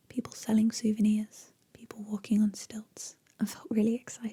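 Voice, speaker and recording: The speaker whispers at a moderate pace. The delivery is soft-spoken with a gentle tone. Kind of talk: ASMR bedtime story reading. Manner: soft-spoken, gentle, relaxing; whispered in places.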